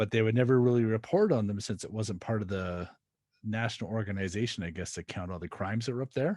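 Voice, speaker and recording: Very fast and fairly low, a man talks in a dark, mellow tone with a Canadian accent. His pitch varies in an ordinary way, in a very clean recording with a silent background. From Canada. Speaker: podcast host. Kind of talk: casual interview chat.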